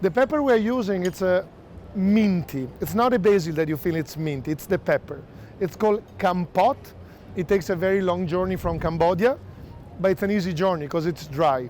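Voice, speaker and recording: With an Italian accent, a man speaks in a high pitch. His intonation is lively. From Italy. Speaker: chef. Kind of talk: hosted dinner presentation. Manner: casual, conversational.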